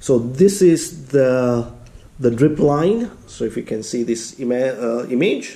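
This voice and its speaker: A man talks very slowly. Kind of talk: tutorial.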